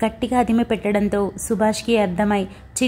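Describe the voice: What you hear is plain reading aloud.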